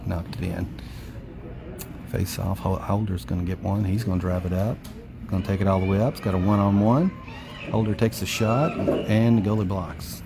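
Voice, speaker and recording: A soft-spoken man's fairly low, fairly quick speech with ordinary pitch variation, long, frequent pauses and noticeable background noise. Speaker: parent doing amateur play-by-play. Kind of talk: live commentary. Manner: fast-paced play-by-play.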